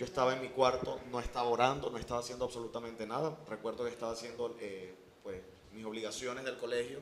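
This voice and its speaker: A man talking very fast amid noticeable background noise and audible room echo. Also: medium pitch for a man, fairly even intonation. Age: 30s. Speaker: pastor. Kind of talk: interview testimony.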